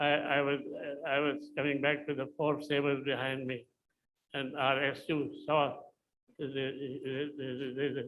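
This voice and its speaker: A man talks at a fairly slow pace with long, frequent pauses. His fairly high pitch stays monotone and flat. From India. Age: 90s. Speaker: retired air force pilot, war veteran. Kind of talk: personal war memoir talk. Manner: halting, with frequent repetitions.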